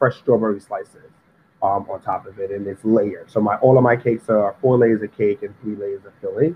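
Moving at a fairly quick pace, a man speaks with a New York accent. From New York City, Harlem. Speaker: pastry chef. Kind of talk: interview.

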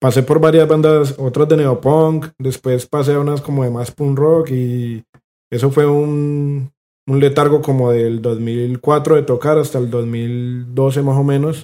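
With a Cali accent, a man speaks at a fairly slow pace in a fairly high, dark and mellow voice with flat, monotone intonation. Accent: Colombian Caleño Spanish. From Colombia, Cali. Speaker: punk guitarist. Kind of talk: casual chat.

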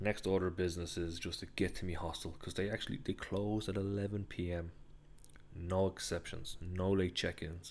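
A man with a Dublin accent, very deep and low in pitch, monotone and flat, at a fairly quick pace in a very clean recording with a silent background. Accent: Dublin Irish. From Ireland, Dublin. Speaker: travel podcaster. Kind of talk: solo travel storytelling. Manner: casual, rambling with fillers.

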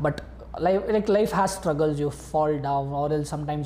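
A man talks at a fairly quick pace in a fairly high pitch, with audible echo from the room. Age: young. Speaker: youth facilitator, student. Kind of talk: interview.

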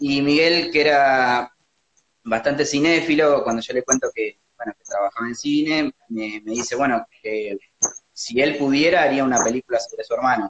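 At a moderate pace, a man with a fairly high pitch and ordinary pitch variation speaks in a dry, close sound with no echo. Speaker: documentary film director. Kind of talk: interview. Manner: halting.

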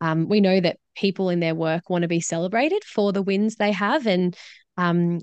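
A woman speaks at a medium pitch and moderate pace with ordinary pitch variation and very even loudness, in an unremarkable speaking voice. The sound is dry and close, with no echo. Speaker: social researcher and speaker. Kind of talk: casual interview.

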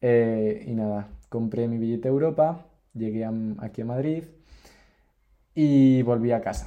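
At a fairly slow pace with long, frequent pauses, a man speaks in a dark, mellow tone at medium pitch with ordinary pitch variation. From Spain, Cantabria. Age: 20s. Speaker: traveller. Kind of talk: casual chat.

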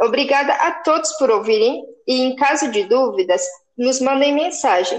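Her pitch high and her loudness very even, a woman talks at a moderate pace with lively intonation. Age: 20s. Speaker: engineering student. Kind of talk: student class presentation.

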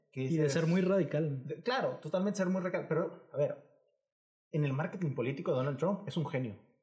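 Delivered at a very fast pace, the speech has a dark, mellow tone and ordinary pitch variation. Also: man, high pitch for a man. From Mexico, Monterrey area (Nuevo León). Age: 20s. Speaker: podcast co-host. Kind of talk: casual chat.

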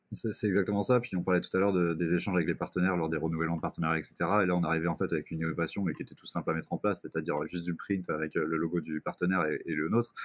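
A man with a very deep, low pitch at a very fast pace, with hardly any pauses. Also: fairly even intonation. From Brittany, France. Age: 20s. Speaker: sports club communications officer. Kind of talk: casual interview.

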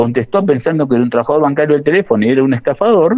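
The speaker is a man. His pitch is fairly high. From Argentina, Santa Fe province (Gálvez). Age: 50s. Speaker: bank workers' union leader. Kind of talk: radio interview.

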